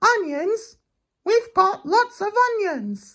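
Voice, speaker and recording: In a squeaky put-on character voice, a man speaks at an extremely high pitch and a very slow pace. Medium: read story. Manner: earnest, eager.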